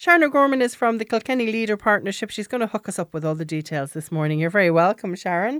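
With an Irish accent, a woman talks very fast at a medium pitch, hardly pausing and swinging her pitch very widely. The sound is dry and close with no echo, on a very clean recording with a silent background. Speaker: radio host. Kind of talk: radio magazine show.

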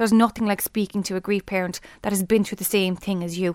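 A woman with a Limerick accent speaks at a very fast pace and a medium pitch, with monotone, flat intonation. The recording is very clean, with a silent background and a dry, close sound with no echo. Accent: Irish (Limerick). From Ireland, Limerick. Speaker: teacher and bereaved mother. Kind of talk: interview, personal testimony. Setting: studio.

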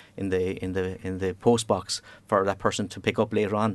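Talking very fast, a man with a Cork accent uses a fairly low pitch. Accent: Cork Irish. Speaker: engineering operations manager. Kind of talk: interview.

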